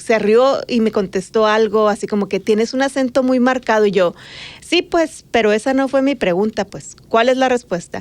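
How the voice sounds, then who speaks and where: A woman with an ordinary speaking voice and a fairly high pitch speaks at a moderate pace with ordinary pitch variation. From Mexico, Sonora border (Magdalena). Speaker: journalist and podcast co-host. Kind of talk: casual chat.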